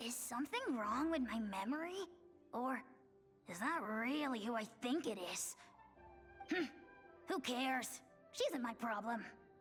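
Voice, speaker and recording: A put-on character voice speaks with long, frequent pauses. Clear music plays in the background. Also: female-sounding voice, high pitch for a woman, moderate pace. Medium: video game. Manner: blustering, touchy.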